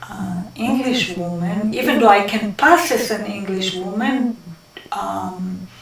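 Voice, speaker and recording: In a strong Israeli accent, a woman at medium pitch talks at a very slow pace with big swings in loudness and ordinary pitch variation, over noticeable background noise and audible room echo. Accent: heavy Israeli accent in English. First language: Hebrew. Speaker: interviewee in documentary. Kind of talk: interview. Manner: hesitant, many fillers.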